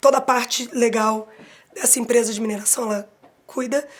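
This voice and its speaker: Flat and monotone, a woman's voice stays at a high pitch. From Brazil, Rio de Janeiro (born São Paulo). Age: 40s. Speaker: advertising professional. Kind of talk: interview testimony.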